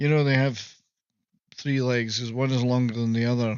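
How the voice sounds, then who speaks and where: A man talks at a fairly quick pace. He has a slight Scottish accent. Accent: mild Scottish. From Scotland, Moray Firth coast. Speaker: live-stream host. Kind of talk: casual comedic monologue. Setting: live stream.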